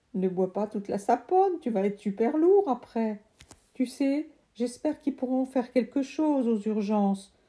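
The speaker is reading aloud in a natural voice. The delivery stays that way throughout.

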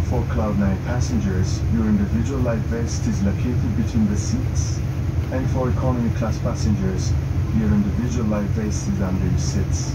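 A man keeps a moderate pace despite loud background noise. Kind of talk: safety announcement. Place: plane.

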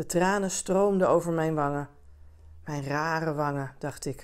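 Soft-spoken and fairly low-pitched, a woman talks at a fairly slow pace against a quiet background. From Netherlands. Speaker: audiobook reader; communications adviser reading aloud. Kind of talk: bedtime story reading aloud, calm and gentle. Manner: soft, gently expressive. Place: home room.

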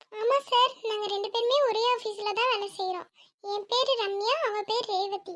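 Using a put-on character voice at an extremely high pitch, a woman speaks at a fairly slow pace with fairly even intonation. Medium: audio drama. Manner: playful, teasing.

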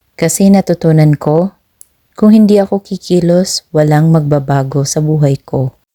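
A woman speaks with a very deep, low pitch and a dark, mellow tone. Her pace is moderate and her pitch variation ordinary. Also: dry, close sound with no echo. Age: 30s. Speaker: content creator. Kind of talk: motivational monologue.

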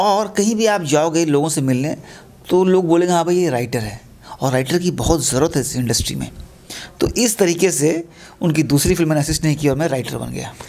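A man speaks with lively intonation at a fairly high pitch for a man. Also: moderate pace. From Bhagalpur, Bihar; Bihar. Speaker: film director and screenwriter; interviewee. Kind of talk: interview. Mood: warm, nostalgic. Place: home room. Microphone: handheld.

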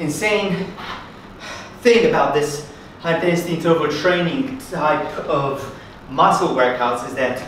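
Light background noise and audible room echo surround the recording. A man talks at a fairly slow pace. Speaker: fitness instructor. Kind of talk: workout instruction. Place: empty room. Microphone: camera far.

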